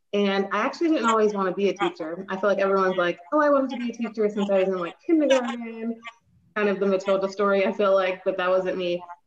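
Speaking at a very fast pace, a woman keeps a medium pitch with ordinary pitch variation. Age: 30s. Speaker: teacher and book recommender. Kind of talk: casual interview.

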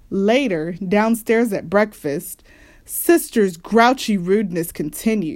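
The voice uses an unforced reading voice with ordinary pitch variation.

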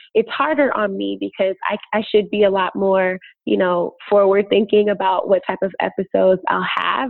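A normal speaking voice, a woman of medium pitch at a fairly slow pace, with an American accent. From Chicago. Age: 20s. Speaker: podcaster. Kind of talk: interview.

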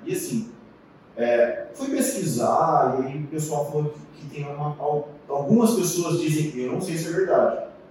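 A man speaks at a fairly slow pace with lively intonation. Noticeable background noise and audible room echo are present. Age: 40s. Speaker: cyclist and cycling YouTuber. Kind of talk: casual interview chat.

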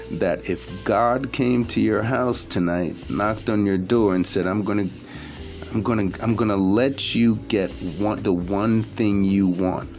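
A man speaks in an animated tone with ordinary pitch variation over noticeable background noise. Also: fairly low pitch for a man, fairly slow pace. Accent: New York. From Brooklyn, New York. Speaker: podcast host and actor. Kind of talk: casual monologue.

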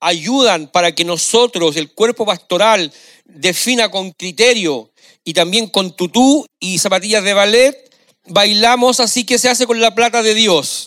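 At a fairly slow pace, a man speaks at a high pitch in a bright, sharp tone, the sound dry and close with no echo on a very clean recording with a silent background. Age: 60s. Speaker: pastor. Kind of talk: sermon.

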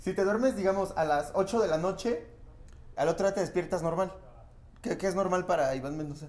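In a Mexican accent, the speech moves at a fairly quick pace with ordinary pitch variation. Long, frequent pauses break it up. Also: man, high pitch for a man. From rural Mexico. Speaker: comedian. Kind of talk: casual chat.

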